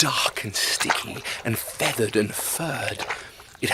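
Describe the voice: Plain read-aloud delivery.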